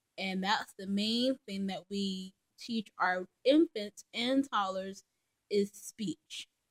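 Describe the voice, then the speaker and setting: A woman at a fairly high pitch, very slow, with ordinary pitch variation. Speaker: mother and vlogger. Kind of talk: casual vlog monologue. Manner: hesitant, many ums.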